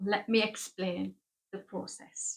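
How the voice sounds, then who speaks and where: A woman is speaking. She has a northeast English accent. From northeast England. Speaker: knitting podcaster. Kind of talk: casual monologue to camera. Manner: hesitant, with fillers and restarts.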